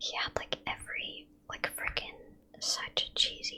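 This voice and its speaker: Noticeable noise fills the background as the speaker whispers, moving at a fairly slow pace. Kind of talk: casual ASMR gaming commentary. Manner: annoyed, rambling, reactive to gameplay.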